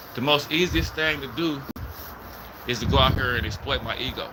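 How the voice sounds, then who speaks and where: A man with a fairly high pitch talks in an American accent over noticeable background noise. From Richmond, California. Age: 40s. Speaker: YouTube livestreamer. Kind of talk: casual livestream monologue. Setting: livestream with chat. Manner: animated.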